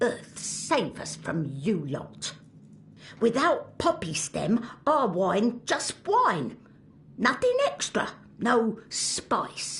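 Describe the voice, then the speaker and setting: At a very slow pace, someone speaks in a put-on character voice with a fairly high pitch. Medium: video game. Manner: broken English, clipped, bossy.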